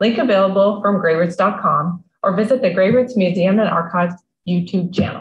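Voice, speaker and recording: Somewhat breathy, a woman speaks at a moderate pace, with audible room echo and light background noise. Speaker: museum talk host. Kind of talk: read introduction. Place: home room. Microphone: video call.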